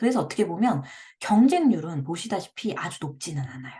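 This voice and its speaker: Somewhat breathy, a woman talks at a fairly quick pace and a medium pitch, with very wide pitch swings. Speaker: blogging coach, parenting blogger. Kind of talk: tutorial. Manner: speeds up when excited.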